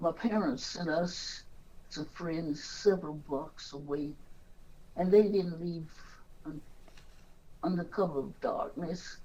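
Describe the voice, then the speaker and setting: A woman with an American accent and a fairly low pitch speaks very slowly with ordinary pitch variation and long, frequent pauses. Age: old. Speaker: activist. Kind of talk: interview answer.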